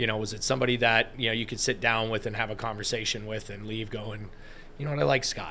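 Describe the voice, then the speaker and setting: A man with an American accent, very fast in pace and fairly even in intonation. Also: medium pitch for a man. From Massachusetts, US. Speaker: sports partnerships executive. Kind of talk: podcast interview. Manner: casual, with many fillers and repetitions.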